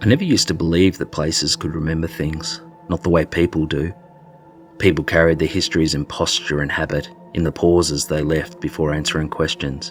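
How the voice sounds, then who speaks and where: A man with a very deep, low pitch talks at a fairly quick pace in fairly even intonation, with music in the background. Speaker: storyteller. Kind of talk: horror story narration.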